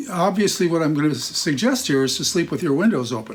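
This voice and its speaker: A man speaks at a fairly high pitch with lively intonation. Noticeable background noise is present. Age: 70s. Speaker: wellness advocate. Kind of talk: talk to camera. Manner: halting.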